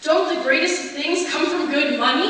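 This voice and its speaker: A woman speaks in a raised, projected voice at an extremely high pitch. Noticeable background noise runs underneath. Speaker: spoken word poet. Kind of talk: spoken word poetry performance.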